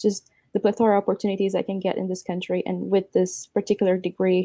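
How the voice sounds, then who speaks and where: In a Romanian accent, a woman talks at a fairly quick pace in a medium-pitched voice with a dark, mellow tone, the sound dry and close with no echo. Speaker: apprentice and university student. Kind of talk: award acceptance interview. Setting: video call.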